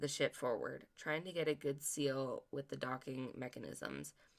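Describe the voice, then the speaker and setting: A raspy, put-on character voice at a low-to-middle pitch and a moderate pace. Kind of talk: audiobook narration. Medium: read story. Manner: earnest, occasionally stumbling.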